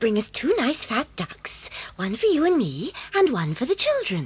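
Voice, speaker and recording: A female-sounding voice puts on a character voice. It is high in pitch and moves at a moderate pace. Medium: audio drama. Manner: warm, motherly.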